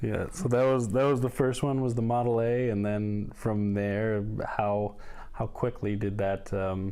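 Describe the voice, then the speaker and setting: This man has an ordinary speaking voice, fairly low-pitched, at a fairly slow pace, with fairly even intonation and very even loudness. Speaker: podcast host. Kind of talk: interview question.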